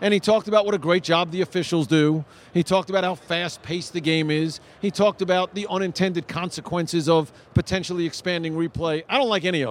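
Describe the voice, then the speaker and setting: At a very fast pace, a man talks in a high pitch with ordinary pitch variation, the sound dry and close with no echo. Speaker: sports radio host. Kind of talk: casual interview.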